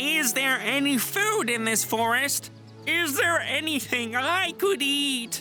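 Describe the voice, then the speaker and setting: Over clear background music, a cartoonish character voice talks at a fairly slow pace. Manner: muttering.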